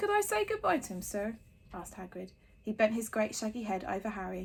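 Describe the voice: The text is read aloud plainly. Nothing more is layered onto the reading.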